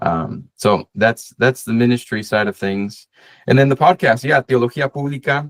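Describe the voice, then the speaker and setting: Over a quiet background, a man talks at a moderate pace. His pitch variation is ordinary. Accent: Spanish. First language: Spanish. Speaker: associate pastor and seminary student; pastor, podcast host. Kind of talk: casual interview chat. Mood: relaxed, friendly. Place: home room. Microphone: video call.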